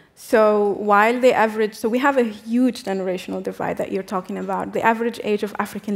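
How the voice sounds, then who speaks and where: A woman's medium-pitched voice. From Tunisia. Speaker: activist and diplomat; speaker. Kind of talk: panel discussion. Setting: stage with audience. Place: stage. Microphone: headset.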